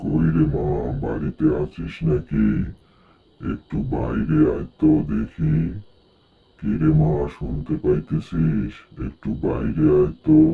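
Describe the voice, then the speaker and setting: This cartoonish character voice talks at a fairly slow pace. It moves along unhurriedly. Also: man, very deep, low pitch for a man. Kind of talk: rural colloquial speech. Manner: fatherly, addressing her as mother.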